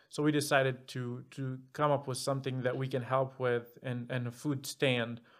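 Speaking in a monotone, flat intonation at a moderate pace, a man holds a medium pitch in a very clean recording with a silent background. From Egypt. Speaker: guest, mechanical engineer. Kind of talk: casual interview. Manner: well-spoken, outgoing.

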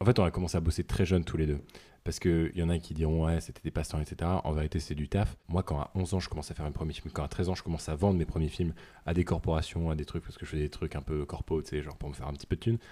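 A man with a very deep, low pitch and a dark, mellow tone talks at a very fast pace with fairly even intonation. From northern France. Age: 20s. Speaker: podcast co-host. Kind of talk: casual chat.

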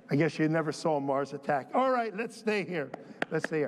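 Against noticeable background noise, a man talks in an animated, warm tone with lively intonation. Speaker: pastor. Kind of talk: sermon. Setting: church. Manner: animated, warm and folksy, with jokes and crowd call-outs; preacherly, with rallying call-and-response.

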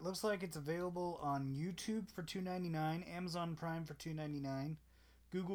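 In a high voice and a playful tone, a man speaks at a fairly quick pace. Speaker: podcast co-host. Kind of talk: casual banter podcast chat. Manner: joking, playful.

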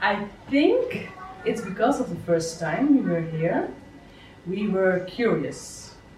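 Speaking at a very slow pace with long, frequent pauses, a woman with a Dutch accent uses lively intonation at a medium pitch, and audible room echo surrounds her voice. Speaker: podcast host and success coach. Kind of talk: interview. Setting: on location at a children's home in Bali.

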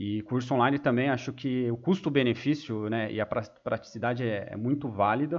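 In a normal speaking voice, a man talks at a moderate pace and medium pitch with ordinary pitch variation and hardly any pauses. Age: 20s. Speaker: economist and project manager. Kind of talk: casual chat.

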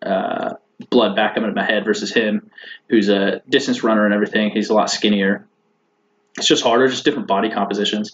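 An unremarkable speaking voice with fairly even intonation at a fairly quick pace. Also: man, fairly low pitch for a man. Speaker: navy officer and student pilot. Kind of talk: casual interview chat.

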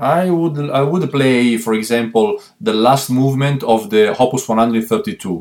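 A man's medium-pitched voice in an Italian accent, fairly slow, with lively intonation, very even loudness and hardly any pauses. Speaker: violist. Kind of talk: interview.

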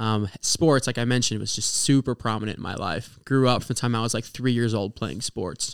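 A man with an American accent has an unremarkable speaking voice, a medium pitch and ordinary pitch variation. The recording is very clean, with a silent background. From Oklahoma. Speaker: ministry student. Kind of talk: testimony. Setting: studio.

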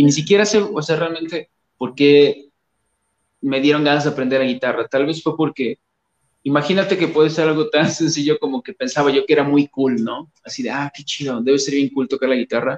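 A man speaks at a fairly quick pace with a fairly high pitch and ordinary pitch variation. The sound is dry and close, with no echo. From Mexico, Coatepec, Veracruz. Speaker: musician. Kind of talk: casual interview. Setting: video call.

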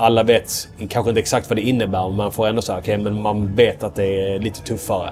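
Over music in the background, a man rushes along at a very fast pace in a fairly low, monotone, flat voice with hardly any pauses. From southern Sweden, Skåne (Ystad). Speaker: military officer, friend of a missing person. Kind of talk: interview conversation. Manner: halting.

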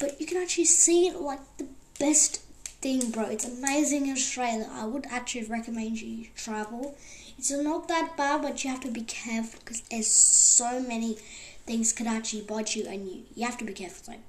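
Over noticeable background noise, a woman speaks at a high pitch and moderate pace with ordinary pitch variation. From Bulgaria. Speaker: podcast host. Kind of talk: casual chat. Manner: rambling, repetitive, informal.

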